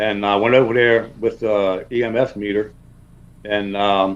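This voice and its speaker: A man with a New York accent speaks in a fairly low voice. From South Jersey, US. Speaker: cryptid researcher. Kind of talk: interview. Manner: halting.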